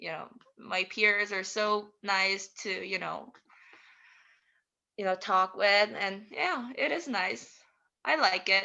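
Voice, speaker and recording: A woman with a Korean accent, medium pitch, ordinary pitch variation, a very slow pace and long, frequent pauses. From South Korea. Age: 20s. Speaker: international student. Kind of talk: interview. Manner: halting.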